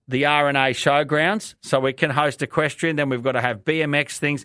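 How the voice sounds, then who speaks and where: Speaking with an Australian accent at a moderate pace, a man uses a fairly high pitch in a very clean recording with a silent background. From Australia, Brisbane. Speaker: radio host. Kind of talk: opinion monologue. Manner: calm, casual.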